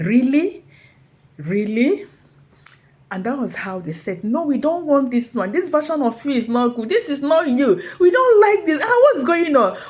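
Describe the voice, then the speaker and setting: A woman talks at a fairly slow pace. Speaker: motivational speaker. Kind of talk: inspirational talk. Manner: animated.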